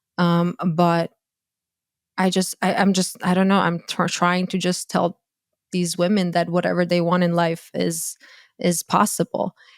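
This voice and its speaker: A woman with a Croatian accent speaks in a flat monotone at a fairly low pitch and fairly slow pace, in a very clean, dry, close recording with a silent background and no echo. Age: 30s. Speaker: dating coach and content creator. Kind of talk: podcast interview. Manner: halting, many false starts.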